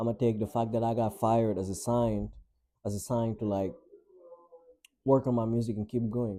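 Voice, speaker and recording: Speaking with a non-native accent, a man at medium pitch keeps a moderate pace and fairly even intonation while leaving long, frequent pauses. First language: not English. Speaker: vlogger and musician. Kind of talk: casual vlog monologue. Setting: home, in own room by window. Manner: casual, filler-heavy.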